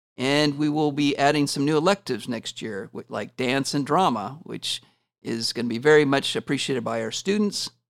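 A man with a plain, everyday voice speaks at a fairly high pitch and fairly quick pace with ordinary pitch variation, in a dry, close sound with no echo on a very clean recording with a silent background. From Washington State. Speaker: school principal. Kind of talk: interview.

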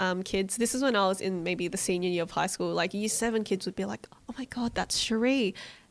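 A woman with an Australian accent, fairly quick and fairly even in intonation. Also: hardly any pauses. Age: 20s. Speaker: vegan cook and cookbook author. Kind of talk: casual interview chat.

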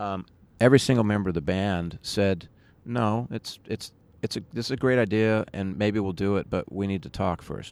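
This man talks at a moderate pace in a fairly low pitch with ordinary pitch variation. It is a normal speaking voice. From San Diego, California. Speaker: musician. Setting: rooftop outdoors in Brooklyn.

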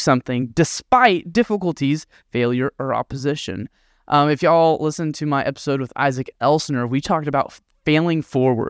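A man with a plain, everyday voice speaks at a fairly quick pace, with fairly high pitch and ordinary pitch variation, on a very clean recording with a silent background and a dry, close sound with no echo. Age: 20s. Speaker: podcast host and youth minister. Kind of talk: devotional talk.

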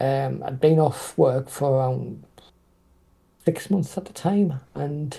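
Very slowly, a man speaks at a fairly high pitch in a dark, mellow tone that is somewhat breathy. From northeast England, Durham. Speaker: indie author. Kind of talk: casual interview.

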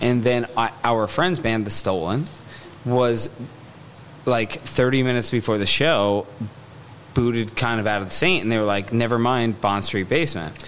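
Taking long, frequent pauses, a man speaks at a moderate pace and medium pitch with ordinary pitch variation, against noticeable background noise. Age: 30s. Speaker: musician. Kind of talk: casual chat. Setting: studio.

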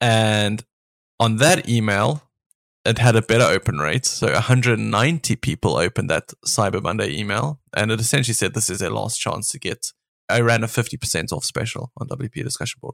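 The voice carries vocal fry and ordinary pitch variation. The pace is moderate. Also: man, medium pitch for a man. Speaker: podcast co-host, online business owner. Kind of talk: casual chat. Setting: remote recording.

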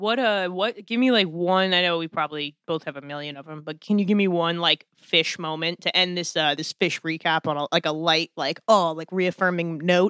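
At a moderate pace with hardly any pauses, the speech comes through in a very clean recording with a silent background. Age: 20s. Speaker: music magazine editor and podcast host. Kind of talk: casual chat.

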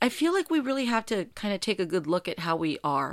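A woman with an American accent speaks at a moderate pace, her pitch swinging very widely. The recording is very clean, with a silent background. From US, Mexican-American household. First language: Spanish. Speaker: podcast host, voice actress. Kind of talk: casual solo monologue.

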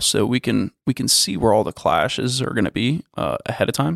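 A man with an American accent speaks at a moderate pace in a medium pitch, with vocal fry and ordinary pitch variation. The recording is very clean and dry, close with no echo and a silent background. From Florida. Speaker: construction company executive. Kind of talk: interview. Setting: in person. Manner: hesitant, many fillers.

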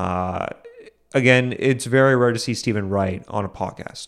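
A man with an ordinary speaking voice talks at medium pitch with ordinary pitch variation. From Boston. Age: young. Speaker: comedian and podcast host. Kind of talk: solo podcast monologue.

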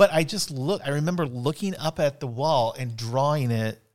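On a very clean recording with a silent background, a man has a plain, everyday voice at a medium pitch with ordinary pitch variation. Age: 40s. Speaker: teacher and podcast co-host. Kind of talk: casual chat. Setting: studio.

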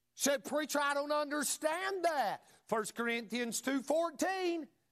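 In a North Carolina accent, a man speaks with an extremely high pitch and lively intonation. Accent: Southern US (North Carolina). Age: 40s. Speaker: pastor. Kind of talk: Wednesday evening Baptist sermon, impassioned personal testimony of faith. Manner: fervent, rising emphatic preaching with repeated punch lines; filler-heavy delivery with frequent uh and stumbles.

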